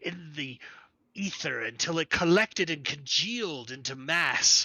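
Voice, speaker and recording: Using a put-on character voice, a man speaks at a fairly slow pace with fairly high pitch. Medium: actual play.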